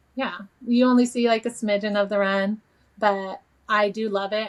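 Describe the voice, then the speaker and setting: A woman is talking. Her voice has a medium pitch. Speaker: runner and social media creator. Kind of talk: casual chat. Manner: loud.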